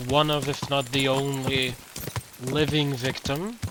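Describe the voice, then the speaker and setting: Against noticeable background noise, a man with a Slovenian accent talks fairly slowly in a fairly high pitch. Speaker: video game streamer. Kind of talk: live gameplay commentary. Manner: halting.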